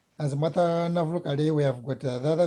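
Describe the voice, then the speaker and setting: A man's dark, mellow, somewhat breathy voice at a very fast pace, with fairly even intonation. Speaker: language teacher. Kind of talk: online language class.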